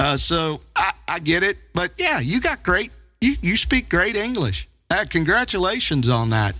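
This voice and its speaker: A man speaks with a high pitch and a bright, sharp tone. His pitch swings very widely, his loudness stays very even, and his pace is fairly slow. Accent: Kentucky. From Kentucky. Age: 50s. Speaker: ham radio operator. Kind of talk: casual chat. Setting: amateur radio contact, live stream.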